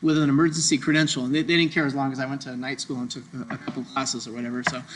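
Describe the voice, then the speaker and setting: This man speaks with an American accent. His pitch sits fairly high. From Southern California. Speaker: doctor teaching medical Spanish. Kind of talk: lecture. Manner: fast; loud, energetic.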